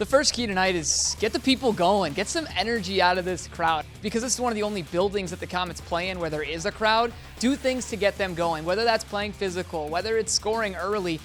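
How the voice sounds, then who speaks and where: A man's high-pitched voice with ordinary pitch variation, fairly quick and with hardly any pauses, music in the background. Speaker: sports broadcaster. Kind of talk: sideline hockey reporting and interviews.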